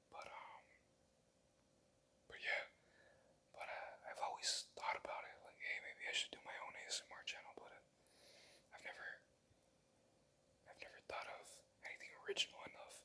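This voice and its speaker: A man whispers at a moderate pace, stopping often for long pauses. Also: big swings in loudness. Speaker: first-time ASMR creator. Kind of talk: casual talk to camera. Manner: casual, rambling, self-deprecating, uses filler words.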